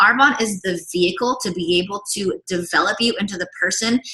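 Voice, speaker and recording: This is a woman with a medium pitch. Her intonation is lively. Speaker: direct sales consultant. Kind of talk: sales pitch. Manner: fast; animated.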